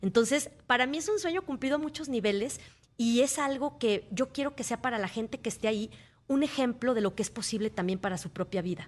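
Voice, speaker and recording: A woman with a high-pitched voice talks at a fairly quick pace. Her intonation is lively. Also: quiet background. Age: 40s. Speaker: motivational speaker. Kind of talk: interview. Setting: radio studio.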